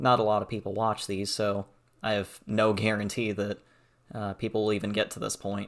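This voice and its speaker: A fairly low-pitched man at a moderate pace, monotone and flat in intonation, on a very clean recording with a silent background. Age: young. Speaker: gaming and art youtuber. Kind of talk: channel introduction monologue. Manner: halting, many fillers.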